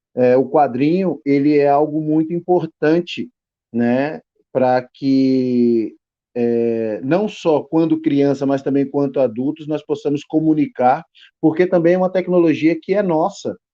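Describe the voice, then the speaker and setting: A man with a fairly high pitch talks at a fairly slow pace, keeping his loudness very even. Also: ordinary pitch variation. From Brazilian Northeast, Petrolina, Pernambuco. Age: 40s. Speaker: graphic designer, illustrator and writer. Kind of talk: podcast interview. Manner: halting, many fillers.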